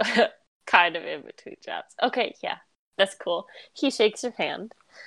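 The text is read aloud in a natural voice with lively intonation. The background is quiet.

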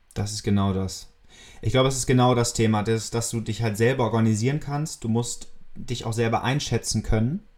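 Over music in the background, a man talks at a fairly quick pace with medium pitch and fairly even intonation. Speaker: podcast host, student entrepreneur. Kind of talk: casual chat.

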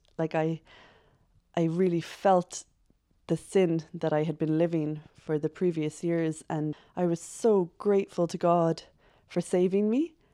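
With a Cork accent, a woman speaks at a moderate pace in a fairly low pitch, her dark, mellow tone and fairly even intonation captured in a dry, close sound with no echo. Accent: Cork Irish. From Ireland, Cork. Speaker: secondary school teacher, stay-at-home mom. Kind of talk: casual chat.

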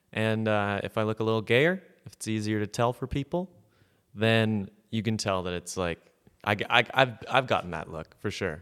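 A plain, everyday voice talks at a moderate pace with ordinary pitch variation. The recording is very clean with a silent background. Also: man, fairly low pitch for a man. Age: 20s. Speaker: comedian. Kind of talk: casual chat.

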